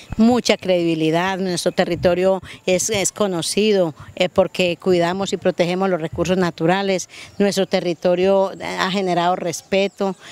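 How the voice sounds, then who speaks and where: With a dry sound and no echo, a woman speaks at a medium pitch and a moderate pace in a monotone, flat intonation. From Antioquia, Colombia. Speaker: rural community environmental leader. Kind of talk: interview. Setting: outdoors by a river. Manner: halting, many repetitions. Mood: warm, passionate. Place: waterside. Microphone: handheld.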